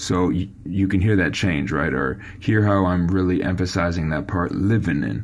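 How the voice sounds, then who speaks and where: A man speaks at a moderate pace with a very deep, low pitch, vocal fry and ordinary pitch variation, and the room echo is audible. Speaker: songwriting coach. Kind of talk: tutorial. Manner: casual.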